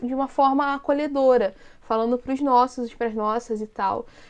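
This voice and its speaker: A woman with a Rio de Janeiro accent speaks at a moderate pace and a high pitch. The background is quiet. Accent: Carioca Brazilian Portuguese. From Brazil, Rio de Janeiro city. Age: 30s. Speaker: content creator and activist. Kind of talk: casual interview chat.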